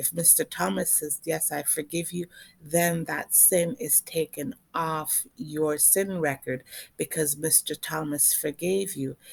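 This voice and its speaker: Fairly slow and with ordinary pitch variation, a woman speaks in a very deep, low pitch, recorded dry and close with no echo. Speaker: author and online commentator. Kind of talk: monologue video.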